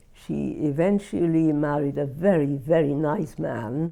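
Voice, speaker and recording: This woman's voice is very deep and low in pitch, with a dark, mellow tone and a Welsh accent. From Wales, Merthyr Tydfil. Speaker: Holocaust refugee interviewee. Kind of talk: oral history interview. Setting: filmed interview.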